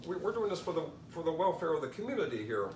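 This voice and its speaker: Very fast, lively speech amid noticeable background noise and audible room echo. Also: man. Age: 60s. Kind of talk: interview. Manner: halting, repeats words.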